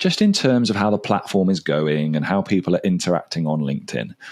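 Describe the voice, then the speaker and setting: A man with an English accent talks at a fairly quick pace in a fairly low pitch, his intonation lively. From England. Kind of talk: casual chat. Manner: animated.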